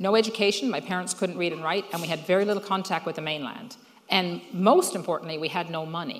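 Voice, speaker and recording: A woman at a very fast pace and fairly low pitch, with ordinary pitch variation and noticeable background noise. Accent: Newfoundland. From Newfoundland, Fogo Island. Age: 60s. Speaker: social entrepreneur. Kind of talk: speech to an audience.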